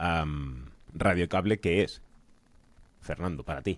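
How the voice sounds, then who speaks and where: A man's voice with vocal fry. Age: young. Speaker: podcast host. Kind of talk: interview conversation.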